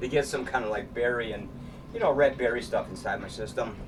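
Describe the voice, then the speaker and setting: The speech runs at a moderate pace over noticeable background noise. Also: man. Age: 60s. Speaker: vlogger and artist. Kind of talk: casual monologue vlog while exercising. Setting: home studio. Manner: casual, rambling with fillers.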